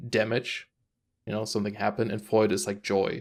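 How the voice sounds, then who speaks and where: Speaking at a fairly quick pace in a German accent, a man with a fairly low pitch comes through on a very clean recording with a silent background. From Germany. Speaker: gaming podcast co-host. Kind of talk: casual chat.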